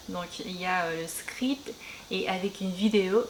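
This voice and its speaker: A woman with a Korean accent speaks at a very slow pace and a medium pitch. Noticeable background noise sits behind her. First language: Korean (speaking French). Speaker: beauty and language youtuber. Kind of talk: casual chat while doing makeup. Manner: halting, many hesitations.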